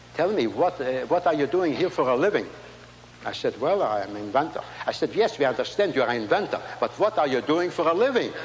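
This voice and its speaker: A man talks at a fairly quick pace with very wide pitch swings, against noticeable background noise. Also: very even loudness. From Latvia. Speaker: inventor and speaker. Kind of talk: speech to a large audience. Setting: stage with audience.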